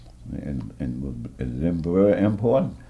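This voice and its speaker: With audible room echo, a man with an American accent speaks at a fairly slow pace, his dark, mellow tone carrying vocal fry. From US South, southern Maryland. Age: 80s+. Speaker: war veteran. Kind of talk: oral history interview. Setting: care center room. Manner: halting.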